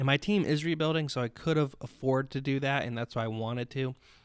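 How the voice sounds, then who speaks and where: Very fast speech comes from a man at medium pitch. The recording is very clean with a silent background, and the sound is dry and close with no echo. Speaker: podcast host. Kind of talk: casual solo podcast talk. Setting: home recording with headphones. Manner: rambling, halting.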